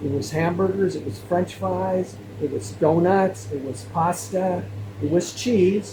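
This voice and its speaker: A man talks at a fairly slow pace in a fairly high pitch with very wide pitch swings, amid noticeable background noise. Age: 60s. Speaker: health video creator. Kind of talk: casual monologue to camera. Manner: repetitive, halting.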